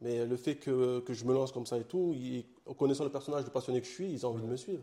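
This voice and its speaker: Very fast speech from a man in a Marseille accent, medium-pitched, dark and mellow in tone, with ordinary pitch variation. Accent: Marseille accent, singsong. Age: young. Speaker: comic book author and publisher. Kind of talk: interview. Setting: his own studio.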